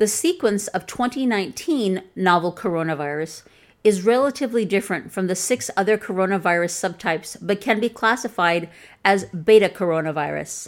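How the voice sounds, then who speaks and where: At a fairly quick pace, a woman talks with a Chicago accent. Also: medium pitch for a woman, very clean recording, silent background. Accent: Chicago, flat Midwestern American. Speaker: author reading her own article. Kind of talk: reading aloud, article narration.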